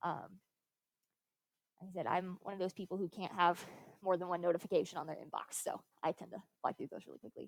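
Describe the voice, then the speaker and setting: At a medium pitch, a woman speaks at a very fast pace, broken by long, frequent pauses. Her loudness swings widely, and the sound is dry and close with no echo. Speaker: high school science teacher. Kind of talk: classroom lecture.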